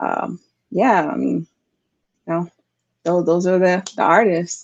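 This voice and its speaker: A woman in a New York accent speaks with a fairly low pitch and fairly even intonation. Her pace is fairly slow, the sound dry and close with no echo. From New York City, Bronx. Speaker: singer-songwriter. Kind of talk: interview. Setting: podcast interview.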